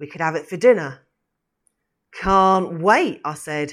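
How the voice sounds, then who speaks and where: The woman's pitch is fairly low and her pace fairly slow. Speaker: actor reading a monologue as Mrs Cratchit. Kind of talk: literary audiobook reading, first-person character monologue in a Victorian voice. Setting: theatre company audio production. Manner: animated storytelling, voicing Robert and Scrooge in quoted dialogue.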